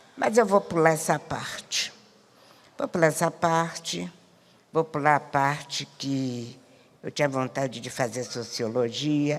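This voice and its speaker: A woman's very deep, low voice, very slow in pace with lively intonation. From Rio de Janeiro, Brazil. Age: 80s+. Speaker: community elder and speaker. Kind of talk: panel talk.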